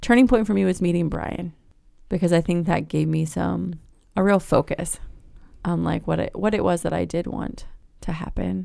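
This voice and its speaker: Moderate pacing in an American accent, broken by long, frequent pauses. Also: woman. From Virginia Beach, Virginia. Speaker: churchgoer sharing her faith story. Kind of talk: testimony in casual interview.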